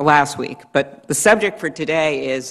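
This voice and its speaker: Her pitch very deep and low, a woman talks at a moderate pace. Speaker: witness. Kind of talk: hearing questioning. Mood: earnest, pressing. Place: hall. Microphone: podium.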